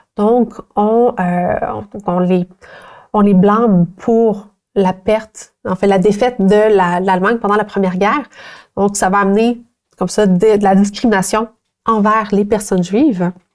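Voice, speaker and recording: A woman's medium-pitched voice at a fairly slow pace, fairly even in intonation and very even in loudness, with long, frequent pauses against a quiet background. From Quebec. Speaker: teacher. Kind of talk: educational tutorial. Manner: halting, with many fillers. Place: studio. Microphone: lapel.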